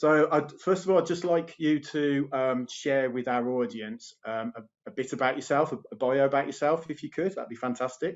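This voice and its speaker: Talking with a Birmingham accent, a man at fairly high pitch keeps a moderate pace with hardly any pauses and ordinary pitch variation. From England. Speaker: health coach and show host. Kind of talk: online interview show. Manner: animated.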